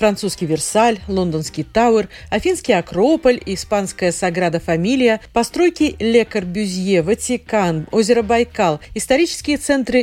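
With very wide pitch swings around a medium pitch, a woman speaks at a fairly slow pace in a dark, mellow tone. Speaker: radio presenter. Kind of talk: scripted-style radio segment. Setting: studio.

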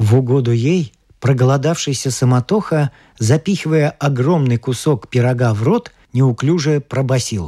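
A man's dark, mellow voice at medium pitch and a moderate pace, with ordinary pitch variation. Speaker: audiobook narrator. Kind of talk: literary audiobook reading.

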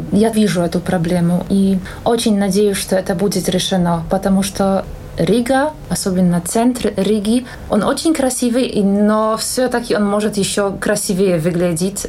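In a Polish accent, a woman speaks at a fairly slow pace and medium pitch, with ordinary pitch variation and very even loudness over noticeable background noise. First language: Polish (speaking Russian). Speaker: singer and language teacher. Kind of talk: interview.

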